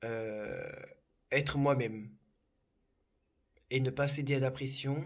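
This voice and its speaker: This man talks at a very slow pace. His pitch is medium and his intonation fairly even. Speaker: psychic. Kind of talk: casual chat. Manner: calm.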